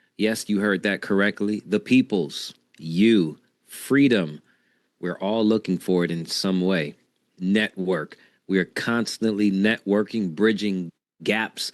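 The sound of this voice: Raspy, low male voice at a slow pace. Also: ordinary pitch variation.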